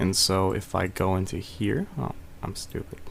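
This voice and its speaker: The man is soft-spoken. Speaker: music production tutor. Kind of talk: tutorial. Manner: soft-spoken, quiet; casual, hesitant with fillers.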